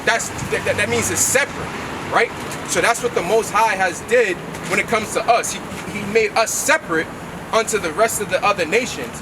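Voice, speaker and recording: Loud and fairly quick, a man with a high pitch and ordinary pitch variation speaks with long, frequent pauses over noticeable background noise. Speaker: street preacher. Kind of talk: street preaching.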